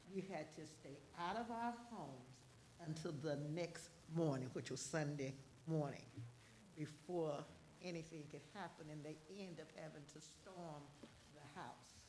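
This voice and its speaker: A woman with a very deep, low pitch and a dark, mellow, somewhat breathy tone speaks at a fairly slow pace with long, frequent pauses. Her loudness swings widely, and there is audible room echo. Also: ordinary pitch variation. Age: 70s. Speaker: resident giving public comment. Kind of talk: public comment.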